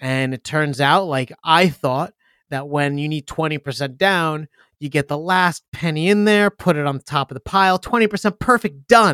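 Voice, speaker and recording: An ordinary speaking voice at a moderate pace with ordinary pitch variation comes through a very clean recording with a silent background and a dry, close sound with no echo. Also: man, fairly high pitch for a man. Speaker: podcast co-host. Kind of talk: casual banter, finance talk. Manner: laughs often, joking.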